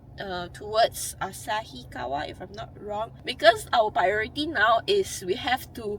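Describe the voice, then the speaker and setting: Noticeable background noise surrounds a woman. She speaks at a moderate pace with lively intonation. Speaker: travel vlogger. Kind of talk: vlog narration. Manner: stuttering.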